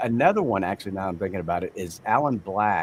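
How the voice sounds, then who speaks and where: With a Texan accent, a man talks in a fairly low pitch with ordinary pitch variation. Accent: Texan American. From Texas, Amarillo. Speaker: audiobook narrator. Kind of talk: interview. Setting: livestream.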